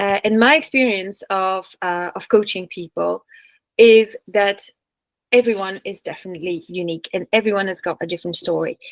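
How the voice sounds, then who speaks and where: Recorded with a dry, close sound and no echo, a woman speaks at medium pitch and a moderate pace, with ordinary pitch variation and big swings in loudness. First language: French. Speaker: business coach. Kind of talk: online workshop presentation. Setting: video call. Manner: hesitant with fillers and restarts.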